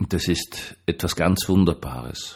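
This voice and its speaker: Vocal fry runs through a man's voice on a very clean recording with a silent background. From Austria. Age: 60s. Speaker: pastor. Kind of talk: monologue vlog. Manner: conversational.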